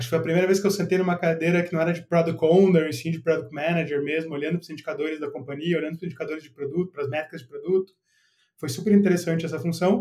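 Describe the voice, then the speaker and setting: A man speaks very fast in a high pitch with a dark, mellow tone. His intonation stays fairly even while his loudness swings widely. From southern Brazil, Porto Alegre. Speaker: product manager. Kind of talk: podcast interview. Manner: casual, relaxed.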